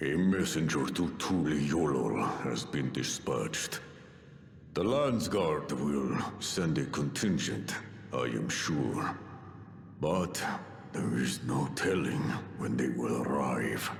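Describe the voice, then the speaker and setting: Using a put-on character voice, a man speaks at a fairly slow pace with long, frequent pauses. There is a slight echo. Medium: video game. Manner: grave, formal.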